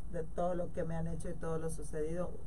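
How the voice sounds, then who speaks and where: Heard with audible room echo, a woman talks at a fairly quick pace with ordinary pitch variation. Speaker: politician. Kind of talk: radio interview.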